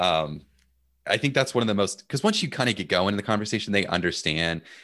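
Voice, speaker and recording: Over a quiet background, a man with an American accent speaks at a fairly quick pace with a fairly low pitch, a bright, sharp tone, and lively intonation. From United States. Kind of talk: casual chat.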